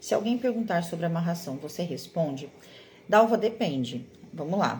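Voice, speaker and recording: At a moderate pace, a woman talks in a fairly low, somewhat breathy voice with lively intonation. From Brazil, Mato Grosso do Sul (Campo Grande). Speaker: card-reading teacher and mentor. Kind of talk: live online class. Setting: livestream. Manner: encouraging, conversational.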